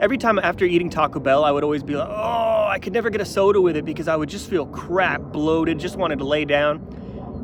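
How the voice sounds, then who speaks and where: Over noticeable background noise, a man speaks very fast in an animated tone with lively intonation. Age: 30s. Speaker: vlogger. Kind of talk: casual vlog monologue. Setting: outdoors, hiking in the mountains.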